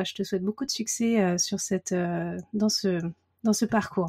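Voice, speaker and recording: This woman has a dark, mellow tone at medium pitch, somewhat breathy. She keeps a moderate pace with fairly even intonation. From Paris region, France. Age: 30s. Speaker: watercolour artist. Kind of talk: casual interview chat. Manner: hesitant, many fillers.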